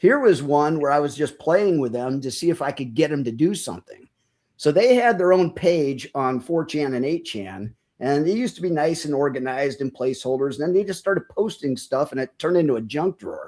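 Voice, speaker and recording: In an ordinary speaking voice, a man talks at a fairly quick pace with a fairly high pitch and lively intonation, in a very clean recording with a silent background. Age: 60s. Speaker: military veteran, podcaster. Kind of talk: casual interview chat.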